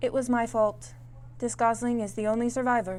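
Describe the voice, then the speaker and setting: A put-on character voice comes through, female-sounding and at a moderate pace. Clear background noise can be heard behind it. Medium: read story. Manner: flat, precise.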